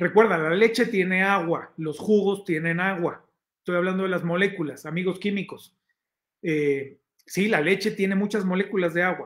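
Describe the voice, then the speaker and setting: In a Mexican accent, a man speaks at a moderate pace. Behind him the background is quiet. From Mexico, Oaxaca. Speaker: health magazine director and show host; show host. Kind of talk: live-stream talk to viewers, health advice. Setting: live stream reading chat comments. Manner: conversational, with filler hesitations. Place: home room.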